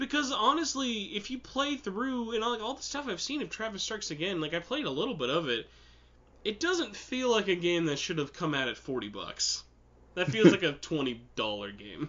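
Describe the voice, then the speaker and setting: Noticeable background noise accompanies a man speaking at a moderate pace. His high voice moves in very wide pitch swings. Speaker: podcast host. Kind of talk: casual podcast conversation.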